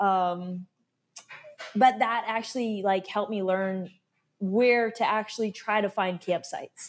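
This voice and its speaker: An ordinary speaking voice with an American accent speaks at a moderate pace with fairly even intonation. The recording is very clean, with a silent background. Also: woman. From Alaska. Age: 30s. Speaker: ultra-endurance cyclist. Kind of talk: interview, casual storytelling.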